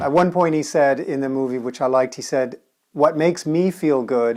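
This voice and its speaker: This is a plain, everyday voice from a man speaking at a moderate pace. His pitch varies in an ordinary way, and the background is quiet. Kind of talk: casual review talk to camera.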